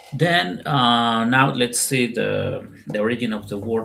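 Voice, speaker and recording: The speaker has a Spanish accent. The pace is fairly slow. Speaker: spiritual content creator. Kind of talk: spoken talk to camera. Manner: halting, with fillers and repetitions.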